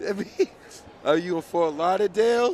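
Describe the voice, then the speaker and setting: Speaking at a fairly quick pace, a man talks with a Boston accent. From Boston, Massachusetts. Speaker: track meet announcer. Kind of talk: live commentary. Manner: animated.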